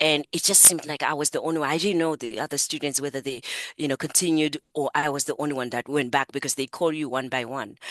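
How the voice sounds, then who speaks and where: A woman with an African accent, very deep and low in pitch, very fast, with fairly even intonation and a dry, close sound with no echo. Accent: African accent, noticeable. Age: 60s. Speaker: psychotherapist, coach and author. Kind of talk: interview.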